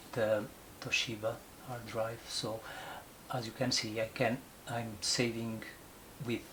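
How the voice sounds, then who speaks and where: A man's medium-pitched voice with noticeable background noise. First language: Portuguese. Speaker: photographer. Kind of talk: tutorial. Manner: halting, many fillers.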